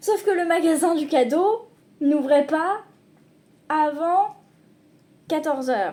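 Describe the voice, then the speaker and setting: A woman's very slow, lively-toned voice on a very clean recording with a silent background. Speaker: vlogger. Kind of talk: casual vlog talk.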